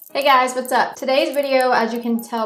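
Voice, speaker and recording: A woman speaks over noticeable background noise. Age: 20s. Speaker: makeup artist and esthetician. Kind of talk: tutorial. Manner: casual.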